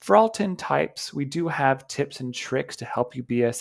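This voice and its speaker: A man's plain, everyday voice at medium pitch and moderate pace, on a very clean recording with a silent background. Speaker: English coach. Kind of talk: tutorial talk to camera.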